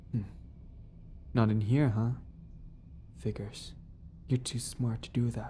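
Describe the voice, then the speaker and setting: Speaking at a fairly slow pace with long, frequent pauses, a woman uses a menacing tone, her very deep, low voice dark, mellow and somewhat breathy, with fairly even intonation. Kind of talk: dramatic scripted roleplay narration. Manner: sassy, teasing, menacing, swaggering, with laughs; softening to vulnerable and tender.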